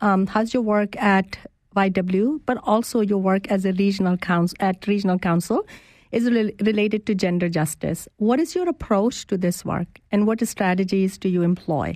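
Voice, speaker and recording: Speaking with a non-native accent, a woman keeps a medium pitch, ordinary pitch variation, a moderate pace and very even loudness. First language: not English. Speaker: guest radio host. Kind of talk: live radio interview. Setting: radio studio.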